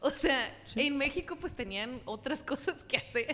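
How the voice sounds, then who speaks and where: Speaking at a fairly slow pace, a woman uses a bright, sharp tone and lively intonation. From Mexico City. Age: 20s. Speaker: comedian and YouTuber. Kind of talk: casual chat.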